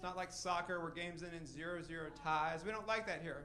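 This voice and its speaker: A man speaks at a fairly quick pace in a raised, projected voice, with ordinary pitch variation and audible room echo. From Tennessee. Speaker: stand-up comedian. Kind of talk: stand-up. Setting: stage with audience.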